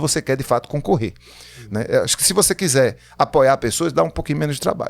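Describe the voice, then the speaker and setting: A man's voice with lively intonation. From Pernambuco, Brazil. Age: 50s. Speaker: writer and political candidate. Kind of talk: podcast interview. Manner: animated.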